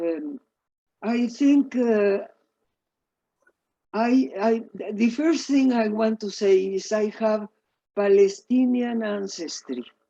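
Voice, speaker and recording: A very slow woman's voice in a Mexican accent, fairly high-pitched, dark and mellow, with ordinary pitch variation. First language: Spanish. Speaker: professor. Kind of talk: lecture. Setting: video call. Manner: halting.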